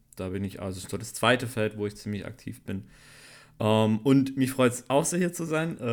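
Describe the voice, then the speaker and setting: In an ordinary speaking voice, a man at medium pitch talks at a moderate pace with lively intonation and big swings in loudness. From Swabia, Schwäbisch Gmünd near Stuttgart. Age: 20s. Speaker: photographer and cameraman. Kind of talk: casual chat.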